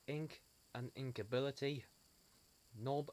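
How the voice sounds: Speaking at a slow pace, a man has a medium pitch and ordinary pitch variation.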